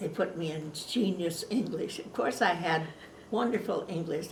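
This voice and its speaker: A woman with a Pacific Northwest accent speaks at a fairly low pitch over noticeable background noise. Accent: American, Pacific Northwest. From Washington state, USA. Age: 80s+. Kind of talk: oral history interview. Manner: hesitant, casual.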